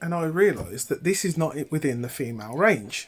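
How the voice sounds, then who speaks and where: At a fairly quick pace, this woman talks with very wide pitch swings. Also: very clean recording, silent background. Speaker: vlogger sharing personal experience. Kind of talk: personal vlog.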